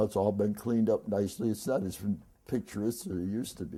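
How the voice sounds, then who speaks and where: A man with an American accent speaks at a fairly quick pace. His voice has a dark, mellow tone and sits at a medium pitch. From Detroit. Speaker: former carnival worker. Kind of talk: oral history interview answer.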